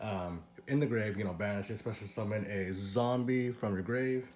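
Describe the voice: In a room with audible echo, a raspy man talks at a moderate pace with a fairly low pitch, ordinary pitch variation and a slightly mellow tone.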